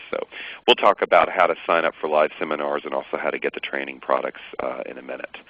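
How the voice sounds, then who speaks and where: Noticeable background noise behind a man's voice, with an American accent. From US South, Atlanta, Georgia. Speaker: accountant and software trainer. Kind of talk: webinar tutorial. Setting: online webinar. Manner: casual, many fillers.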